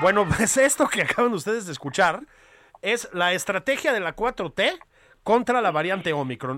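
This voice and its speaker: A man with a Mexican accent speaks at a moderate pace in a bright, sharp tone. His pitch swings very widely. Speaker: political podcast co-host. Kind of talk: casual satirical political chat.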